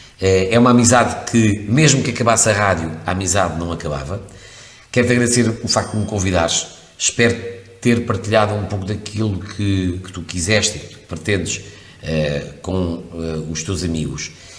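Audible room echo surrounds a man's fairly low voice as he speaks at a moderate pace with big swings in loudness. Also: ordinary pitch variation. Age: 50s. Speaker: radio presenter. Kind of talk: interview conversation. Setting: radio studio. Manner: hesitant with fillers.

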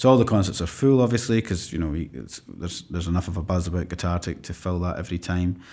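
Speaking very fast with hardly any pauses, a man with a Scottish accent uses a very deep, low pitch and a dark, mellow tone. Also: ordinary pitch variation. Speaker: classical guitarist and conservatoire teacher. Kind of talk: interview. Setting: conservatoire room.

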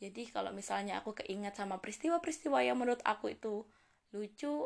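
Animated and very fast, a woman with a strong Javanese accent speaks at a fairly high pitch. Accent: strong Javanese-accented Indonesian. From East Java, Indonesia (Jember). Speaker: university student and podcaster. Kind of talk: casual solo podcast monologue. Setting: home recording with basic equipment. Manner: chatty, animated.

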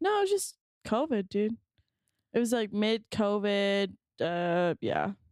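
With a Southern Californian accent, a woman speaks fairly slowly with long, frequent pauses and very even loudness, in a dry, close sound with no echo. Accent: Valley girl. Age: 20s. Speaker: podcast co-host. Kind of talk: casual chat.

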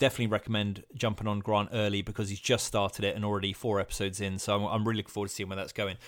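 Recorded very cleanly against a silent background, a man speaks with a British accent at a fairly low pitch. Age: 40s. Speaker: podcast host. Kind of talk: casual interview chat. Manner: relaxed, improvised.

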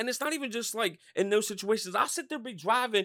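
With an American accent, a man uses a raised, projected voice at an extremely high pitch, the sound dry and close with no echo. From Norristown, Pennsylvania. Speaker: podcast host.

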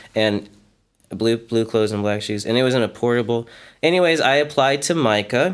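In a very clean recording with a silent background, a man uses an ordinary speaking voice at medium pitch, with ordinary pitch variation and a moderate pace. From US, Frederick, Maryland. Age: 30s. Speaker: art teacher and sculptor. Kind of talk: casual interview.

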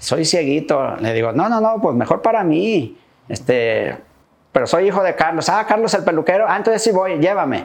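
A high male voice with very wide pitch swings and very even loudness. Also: moderate pace. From Michoacán, Mexico. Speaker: barber. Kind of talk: interview. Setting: barbershop.

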